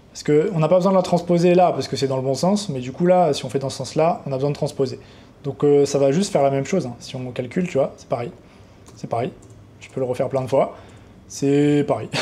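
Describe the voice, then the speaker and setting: This man talks at a very fast pace with a fairly high pitch and ordinary pitch variation. His loudness swings a lot. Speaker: trading educator, YouTuber. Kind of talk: coding tutorial. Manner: casual, unscripted.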